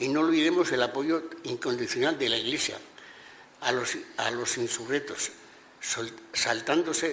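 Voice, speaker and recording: There is noticeable background noise. A man speaks at a fairly slow pace. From Navarre, Spain (Corella). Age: 80s+. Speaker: witness to Francoist repression. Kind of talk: testimony. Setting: regional parliament hearing. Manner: halting, with repetitions.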